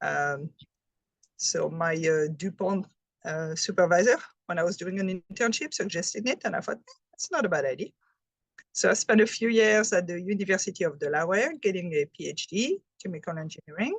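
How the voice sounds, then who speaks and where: With a French accent, a woman speaks at medium pitch and a fairly quick pace, her intonation lively. The sound is dry and close with no echo. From France. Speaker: health presenter, chemist. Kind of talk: presentation.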